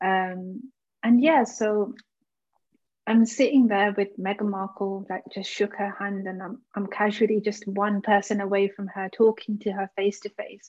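A woman with a slight Birmingham accent speaks at a fairly slow pace with fairly even intonation and big swings in loudness, over a quiet background. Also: medium pitch for a woman. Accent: British, Birmingham-tinged. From Birmingham, England. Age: 20s. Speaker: co-founder of an organisation. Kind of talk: casual interview chat.

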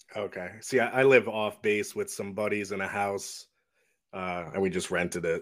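At a moderate pace and with fairly even intonation, an ordinary speaking voice comes across in a very clean recording with a silent background. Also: man, fairly low pitch for a man. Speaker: co-host of a horror movie podcast. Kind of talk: casual podcast interview.

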